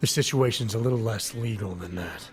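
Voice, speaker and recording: A man's raspy, put-on character voice at medium pitch, with ordinary pitch variation and a fairly quick pace. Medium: video game. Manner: low-key, measured.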